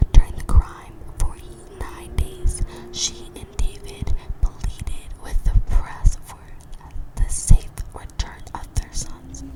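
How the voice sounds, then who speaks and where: A woman whispers at a very slow pace with long, frequent pauses and big swings in loudness over noticeable background noise. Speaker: ASMR true crime storyteller. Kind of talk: ASMR true crime narration.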